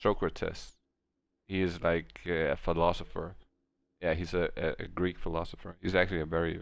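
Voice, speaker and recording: Very deep, low pitch from a man, with ordinary pitch variation and a moderate pace over a quiet background. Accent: Danish. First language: Danish. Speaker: video game streamer. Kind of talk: casual chat. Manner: halting.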